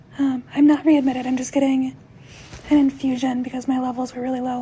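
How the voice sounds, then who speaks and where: Noticeable background noise sits under a woman's high-pitched voice. She speaks at a fairly quick pace in a monotone, flat intonation. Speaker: vlogger sharing health updates. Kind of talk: casual video update. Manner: informal with many fillers.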